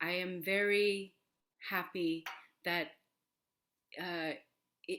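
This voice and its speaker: A woman with an American accent speaks in a fairly low pitch, her tone bright and sharp. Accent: American accent, learned to sound native. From Korea, moved to US at age seven. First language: Korean. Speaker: opera singer and voice teacher. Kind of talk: interview. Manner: halting, many fillers.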